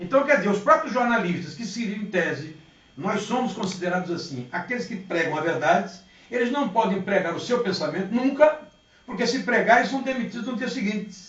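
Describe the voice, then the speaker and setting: The speech moves at a fairly quick pace. Noticeable background noise and audible room echo are both present. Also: man, high pitch for a man, lively intonation. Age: 60s. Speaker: politician. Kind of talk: interview. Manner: animated.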